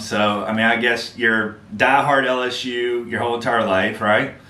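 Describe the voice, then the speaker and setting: In a Southern US accent, a man talks at a medium pitch. There is audible room echo and noticeable background noise. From Mississippi Gulf Coast. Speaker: podcast host. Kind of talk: podcast interview.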